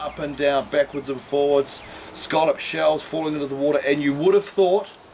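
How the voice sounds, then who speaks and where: A man's fairly high-pitched voice with ordinary pitch variation over noticeable background noise. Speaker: fishing charter operator. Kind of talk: fishing report. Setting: outdoors. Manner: casual.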